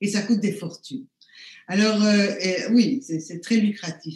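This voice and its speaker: A woman speaks at a fairly slow pace with lively intonation and a somewhat breathy voice. Her pitch is medium, and audible room echo surrounds her. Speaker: neuroscience professor; professor guest. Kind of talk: panel discussion. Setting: video call. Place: home room. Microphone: webcam.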